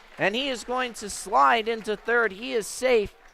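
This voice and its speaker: Over music in the background, a raised, projected voice speaks at a very slow pace. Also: man. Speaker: radio sports play-by-play announcer. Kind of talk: radio baseball play-by-play.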